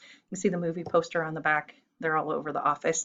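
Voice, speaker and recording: A woman is speaking. Her pitch sits fairly low. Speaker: high school teacher. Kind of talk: recorded lecture. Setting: home recording. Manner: fast.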